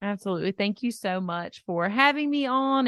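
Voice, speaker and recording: A woman talks in a Southern US accent with ordinary pitch variation. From US South. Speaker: dietitian and health coach. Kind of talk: interview.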